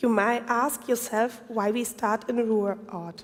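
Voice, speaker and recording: Against noticeable background noise, a woman with a German accent speaks at a very slow pace. Her voice is fairly high and her intonation fairly even. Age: 40s. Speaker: urban planner. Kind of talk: conference presentation. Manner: halting.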